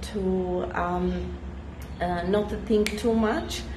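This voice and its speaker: Noticeable background noise sits behind a woman who speaks at a very slow pace. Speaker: online business vlogger. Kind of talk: casual vlog chat. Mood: relaxed, cheerful. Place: street. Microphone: phone near.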